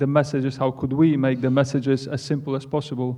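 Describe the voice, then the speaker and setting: With a Polish accent, a man speaks at a fairly high pitch in a monotone, flat delivery. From Poland. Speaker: football coach. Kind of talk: panel Q&A.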